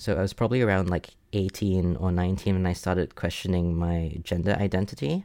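Against a silent background in a very clean recording, a man speaks at a moderate pace in a very deep, low voice with a dark, mellow tone and fairly even intonation. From Singapore. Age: 20s. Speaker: guest telling personal story. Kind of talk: personal storytelling interview.

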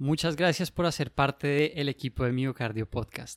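In an ordinary speaking voice, a man talks with a fairly high pitch and ordinary pitch variation, on a very clean recording with a silent background and a dry, close sound with no echo. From Colombia. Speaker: medical resident and podcast host. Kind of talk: casual interview chat.

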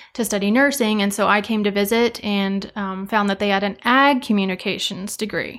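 With an American accent and a normal speaking voice, a woman of medium pitch talks at a moderate pace with hardly any pauses and fairly even intonation, in a very clean recording with a silent background. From eastern Colorado, rural. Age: 20s. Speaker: farmer and seed sales manager. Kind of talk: casual interview chat.

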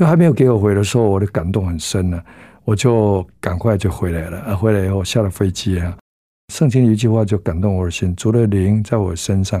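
A man's fairly low, dark, mellow voice at a fairly quick pace, with ordinary pitch variation, on a very clean recording with a silent background. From southern Taiwan. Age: 70s. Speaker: pastor. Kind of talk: testimony.

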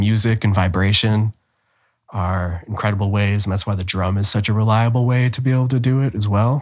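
This man speaks with a Midwestern American accent at a fairly quick pace. His voice sits fairly low, and his intonation stays fairly even. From Ohio, Cleveland. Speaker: spiritual teacher. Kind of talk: casual chat.

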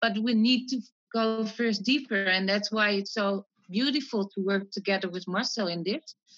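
With a Dutch accent, a woman speaks at a fairly slow pace. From Netherlands. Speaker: mind-calming coach. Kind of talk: interview.

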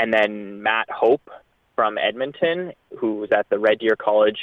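A man speaks at a moderate pace with a Canadian accent. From Ontario, Canada (London). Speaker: distance runner. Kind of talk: interview.

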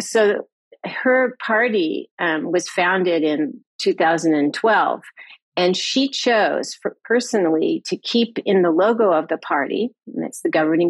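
A woman with an American accent speaks at a medium pitch in a normal speaking voice, recorded with a dry, close sound and no echo. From US West Coast, California. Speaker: historian. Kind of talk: interview.

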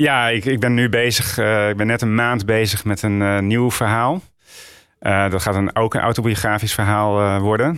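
On a very clean recording with a silent background, a man with a fairly low pitch talks at a moderate pace, his intonation fairly even and his loudness very even. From northern Netherlands, Roden (Drenthe). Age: 40s. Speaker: author and Dutch teacher. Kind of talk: interview about grief. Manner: halting, many fillers.

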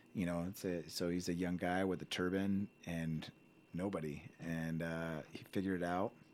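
In a General American accent, a man speaks at a moderate pace with a very deep, low pitch and monotone, flat intonation. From Colorado, US (Indian-American family, moved from Ohio). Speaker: physician. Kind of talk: casual chat.

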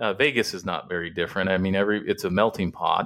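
On a very clean recording with a silent background, a man with an ordinary speaking voice talks at a fairly quick pace and fairly low pitch. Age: 40s. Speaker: business coach and motivational speaker. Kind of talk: casual chat.

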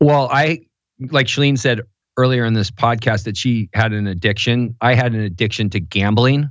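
A man talks at a moderate pace with a medium pitch. His pitch varies in an ordinary way. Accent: American. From Southern California. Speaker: former pro football player, business manager. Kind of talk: casual interview. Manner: halting.

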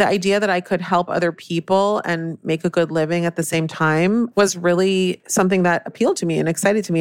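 An ordinary speaking voice from a woman with an American accent, fairly low in pitch, at a moderate pace with fairly even intonation, in a dry, close sound with no echo. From Northern California. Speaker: cookbook author. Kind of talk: casual interview.

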